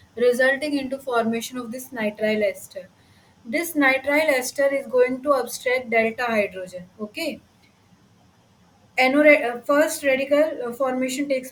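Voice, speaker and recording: This woman has a high-pitched voice with ordinary pitch variation. She talks at a moderate pace. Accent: Indian. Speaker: teaching assistant. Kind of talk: lecture.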